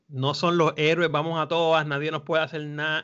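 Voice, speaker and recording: A man's fairly high voice, a plain, everyday voice, at a moderate pace. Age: 40s. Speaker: film podcast panelist, teacher. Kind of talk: casual chat.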